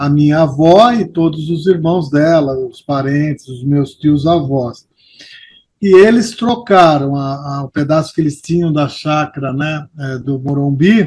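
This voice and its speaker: Somewhat breathy and fairly high for a man, his voice moves at a fairly slow pace with ordinary pitch variation. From São Paulo, Brazil. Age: 60s. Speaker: longtime local resident interviewed about neighborhood history. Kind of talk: interview.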